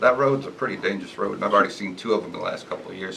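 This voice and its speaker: This man speaks with an American accent and ordinary pitch variation. Noticeable background noise runs under the recording. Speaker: resident speaking at public hearing. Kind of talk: public comment at town meeting. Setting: public hearing in meeting room.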